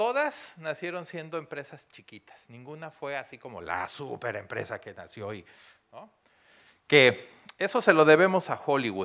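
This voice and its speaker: At a fairly slow pace against a quiet background, the voice is bright and sharp with vocal fry, very wide pitch swings and big swings in loudness. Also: man, fairly high pitch for a man. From Mexico. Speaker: business consultant and university lecturer; university lecturer. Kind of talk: lecture. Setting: stage with audience. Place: hall. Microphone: handheld.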